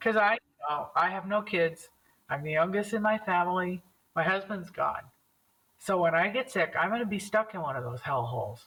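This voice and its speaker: Vocal fry runs through speech that has lively intonation. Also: woman, medium pitch for a woman, moderate pace. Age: 60s. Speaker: bereaved widow sharing her story. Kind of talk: interview testimony. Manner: animated.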